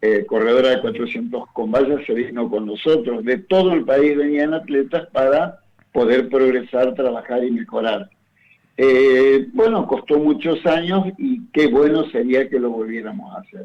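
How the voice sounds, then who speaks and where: Very wide pitch swings mark this man's fairly high voice as he talks at a fairly slow pace. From Argentina, Entre Ríos countryside. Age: 70s. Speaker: retired athletics coach and PE professor. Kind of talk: radio interview. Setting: radio studio.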